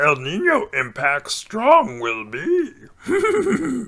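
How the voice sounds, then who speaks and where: A put-on character voice, fairly high and creaky, delivered at a very slow pace. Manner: cringey, put-on creaky voice with inverted syntax.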